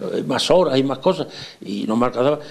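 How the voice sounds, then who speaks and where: Lively intonation with vocal fry at a moderate pace. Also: man. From Spain, Extremadura (Zafra). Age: 70s. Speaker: retired farmer and dairy rancher. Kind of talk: interview. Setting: at his home.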